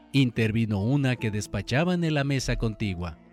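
An unforced reading voice carries intonation that rises and falls in a lively way.

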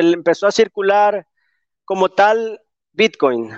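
A man speaks with a high pitch and ordinary pitch variation. The sound is dry and close with no echo, over a quiet background. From El Salvador, coastal community. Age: 30s. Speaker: entrepreneur. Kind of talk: online interview.

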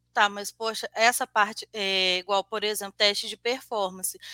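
A woman's fairly high-pitched voice, bright and sharp in tone, dry and close with no echo, on a very clean recording against a silent background. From Brazil, Juiz de Fora, Minas Gerais. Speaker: senior software QA analyst. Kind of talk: live-streamed interview.

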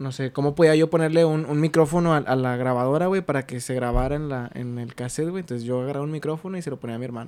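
Using an unremarkable speaking voice, a man keeps his intonation fairly even at a pitch that sits fairly high. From Mexico, Ciudad Acuña, Coahuila. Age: 20s. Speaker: podcast guest, radio host. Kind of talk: casual chat.

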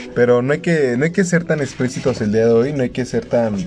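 With noticeable background noise behind him, a man speaks fairly quickly at a medium pitch, showing ordinary pitch variation. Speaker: podcast host. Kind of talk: casual chat.

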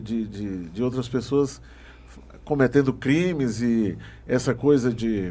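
Here a man talks at a very slow pace, at medium pitch, with a dark, mellow tone. His pitch variation is ordinary. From Maranhão, Brazil. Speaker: podcast host. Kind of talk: interview.

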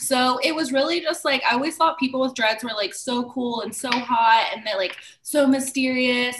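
A woman talks at a moderate speed in a high voice while noticeable noise runs in the background. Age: 30s. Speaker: loctician. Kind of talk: casual chat.

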